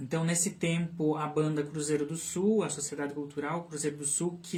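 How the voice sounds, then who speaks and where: A man at a fairly high pitch, moving at a moderate pace. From southern Brazil, Santa Catarina (Canoinhas, São Bento do Sul). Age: 30s. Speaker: speech therapist and children's book author. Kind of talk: interview on live radio/stream. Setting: radio studio live stream. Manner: hesitant, many fillers and repetitions.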